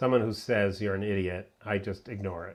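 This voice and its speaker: Against a quiet background, a man with a fairly low pitch speaks at a moderate pace. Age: 60s. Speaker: journalist and policy scholar. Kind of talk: talk to a virtual audience. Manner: halting, with fillers.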